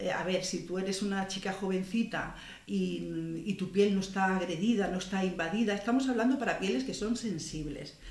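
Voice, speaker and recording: At a moderate pace, a woman speaks at medium pitch with ordinary variation. The room echoes audibly, and background noise is noticeable. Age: 60s. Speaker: beauty salon owner and skincare expert. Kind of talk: interview. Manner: halting.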